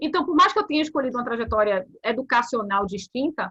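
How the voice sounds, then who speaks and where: A woman's high, bright, sharp voice moves at a fairly quick pace with lively intonation. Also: dry, close sound with no echo. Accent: Bahian. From Bahia, Brazil. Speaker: corporate compliance officer. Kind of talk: interview. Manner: animated.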